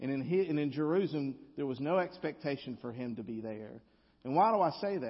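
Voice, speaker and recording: A man speaks at a fairly high pitch with a Southern US accent. His pitch swings very widely. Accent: Southern US drawl. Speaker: guest preacher. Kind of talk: sermon. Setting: church.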